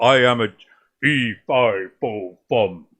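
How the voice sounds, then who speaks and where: A man performs a booming, put-on character voice. His pitch sits in the medium range, with ordinary pitch variation. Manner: menacing, gruff.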